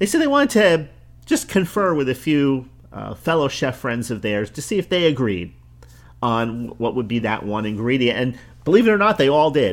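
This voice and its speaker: With a slight New Jersey accent, a man talks at a moderate pace and medium pitch, his voice swinging very widely in pitch. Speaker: podcast host, business coach. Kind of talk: solo podcast monologue.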